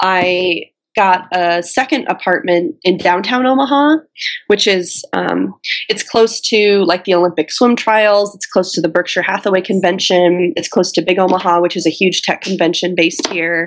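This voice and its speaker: In an American accent, a woman with a plain, everyday voice talks at medium pitch and moderate pace with ordinary pitch variation. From US Midwest. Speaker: entrepreneur and Airbnb host. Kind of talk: interview.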